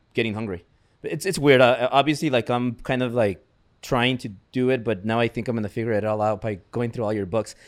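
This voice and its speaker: Over a silent background on a very clean recording, a man talks at a very fast pace with medium pitch and ordinary pitch variation. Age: 30s. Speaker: podcast host and entrepreneur. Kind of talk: casual interview. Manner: animated.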